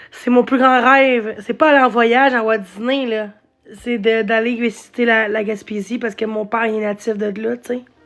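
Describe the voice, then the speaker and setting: A woman speaks at a moderate pace with a fairly high pitch. Her intonation is monotone and flat. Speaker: live streamer. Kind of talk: casual live stream chat. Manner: halting.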